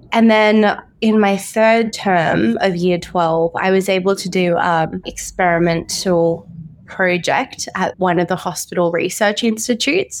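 A woman speaks with an Australian accent at a fairly slow pace. Her pitch sits at a medium level with ordinary variation. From Brisbane, Queensland, Australia. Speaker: orthopaedic doctor. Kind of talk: interview.

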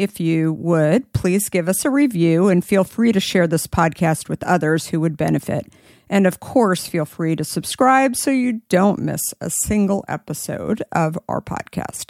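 In a plain, everyday voice with an American accent, a woman with a fairly low pitch talks at a moderate pace with lively intonation and hardly any pauses, recorded dry and close with no echo on a very clean, silent background. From Arizona. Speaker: podcast host. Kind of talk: interview conversation.

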